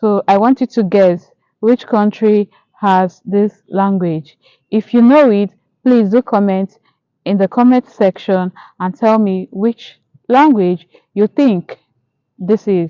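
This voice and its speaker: In a Nigerian accent, a woman speaks very slowly with long, frequent pauses, in a dark, mellow tone at a medium pitch with ordinary variation. Her loudness stays very even, and the sound is dry and close with no echo. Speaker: YouTuber. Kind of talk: casual vlog monologue. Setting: outdoors in a park.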